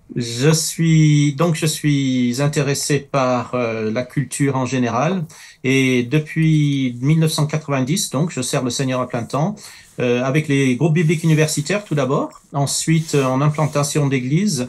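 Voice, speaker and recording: On a very clean recording with a silent background, a man with a fairly high pitch talks at a fairly slow pace with ordinary pitch variation. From Middle East, then France from childhood. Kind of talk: talk show interview. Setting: studio. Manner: halting, many hesitations.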